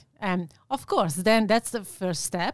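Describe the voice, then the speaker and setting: In an Italian accent, a woman speaks at medium pitch and a moderate pace with ordinary pitch variation. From Italy. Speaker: sales and operations manager. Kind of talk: interview.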